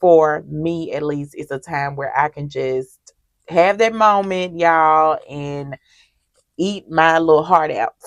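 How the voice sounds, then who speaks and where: Very slowly and with a Mississippi accent, a woman speaks at a very deep, low pitch, with ordinary pitch variation and big swings in loudness. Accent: Southern US (Mississippi). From US South, Mississippi. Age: 30s. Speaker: budgeting vlogger. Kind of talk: casual chat. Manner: chatty, conversational.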